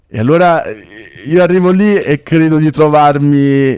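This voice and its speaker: Dark and mellow in tone, the voice sounds dry and close with no echo. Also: man. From southern Italy, Naples. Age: 20s. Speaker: dentist and charity founder. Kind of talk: podcast interview, personal story.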